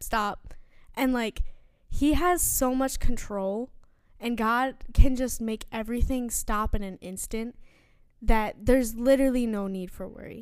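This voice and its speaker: On a very clean recording with a silent background, a woman with an American accent and a high pitch speaks with fairly even intonation. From New York. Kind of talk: casual faith chat.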